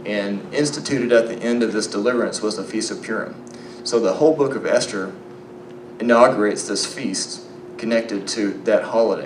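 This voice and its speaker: A man with a slight Southern US accent talks at a fairly quick pace in a relaxed tone, at medium pitch with ordinary pitch variation. The room echo is audible and the background noise is noticeable. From Arkansas, US South. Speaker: biblical archaeology lecturer. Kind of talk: conference lecture. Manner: relaxed, conversational with fillers.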